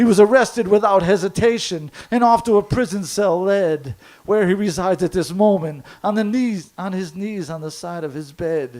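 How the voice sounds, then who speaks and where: Speaking at a moderate pace with hardly any pauses, a man with a high pitch shows ordinary pitch variation and big swings in loudness. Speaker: slam poet. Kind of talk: poetry slam performance. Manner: lyrical, rhythmic rhyming delivery.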